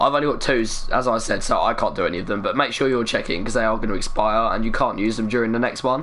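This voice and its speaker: Over noticeable background noise, a man talks at a very fast pace with hardly any pauses. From England, East London. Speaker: gaming live streamer. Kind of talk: live stream chat with viewers.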